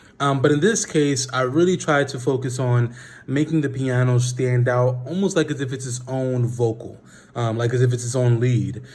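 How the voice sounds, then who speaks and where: This man sounds somewhat breathy. His intonation is fairly even. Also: medium pitch for a man, moderate pace. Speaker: music producer and singer. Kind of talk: tutorial. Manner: casual with frequent fillers.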